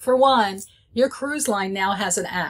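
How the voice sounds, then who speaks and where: A somewhat breathy woman speaks at a moderate pace with ordinary pitch variation. The background is quiet. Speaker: presenter. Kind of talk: tutorial. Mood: friendly, chatty. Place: office.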